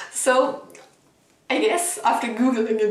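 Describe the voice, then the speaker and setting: In a German accent, a woman speaks with a fairly high pitch, amid noticeable background noise and audible room echo. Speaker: book vlogger. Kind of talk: casual vlog review. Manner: animated, casual.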